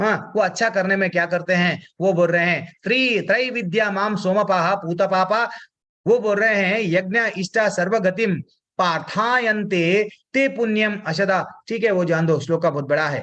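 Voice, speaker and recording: A man's high-pitched voice has a bright, sharp tone and ordinary pitch variation. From South India. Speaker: spiritual teacher. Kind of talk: religious class lecture. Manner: repetitive, emphatic explanatory.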